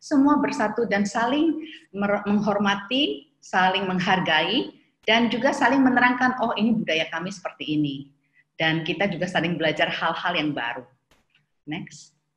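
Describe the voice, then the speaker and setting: A woman's voice moves through very wide pitch swings. Audible room echo surrounds it over a quiet background. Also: moderate pace. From Indonesia, Tegal; Indonesia. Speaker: school founder; webinar speaker. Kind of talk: webinar presentation. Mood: warm, proud. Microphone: webcam.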